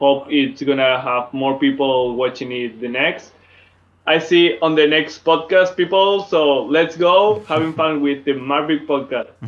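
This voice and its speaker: An ordinary rise and fall of pitch at a fairly slow pace. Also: man, fairly high pitch for a man. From Spain, Madrid. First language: Spanish. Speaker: dance event organizer. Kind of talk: casual chat. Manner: halting.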